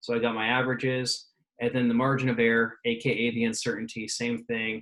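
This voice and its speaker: At a fairly quick pace, a man speaks in a flat monotone, at a medium pitch and with very even loudness. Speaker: physics teacher. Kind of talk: tutorial. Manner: fast.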